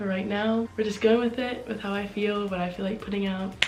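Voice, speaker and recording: A woman talks at a medium pitch, and audible room echo can be heard around her. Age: young. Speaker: video blogger. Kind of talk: casual chat. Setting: home, seated in spinning chair.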